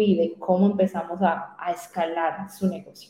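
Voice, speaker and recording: The speaker is a woman with a fairly low pitch. Her intonation is flat and monotone. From Colombia, Popayán. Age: young. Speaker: digital strategist. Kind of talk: interview.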